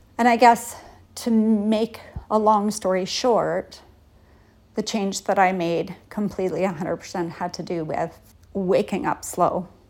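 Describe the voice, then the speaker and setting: With a normal speaking voice, a woman of medium pitch talks at a fairly slow pace with fairly even intonation in a very clean recording with a silent background. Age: 50s. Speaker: podcast host on empty nesting. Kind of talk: casual solo monologue. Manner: conversational.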